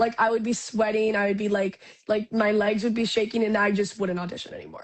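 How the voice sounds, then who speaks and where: Very fast and somewhat breathy, a woman delivers her words with a fairly high pitch and a monotone, flat intonation. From Canada, Ontario. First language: Spanish. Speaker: actress. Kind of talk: interview.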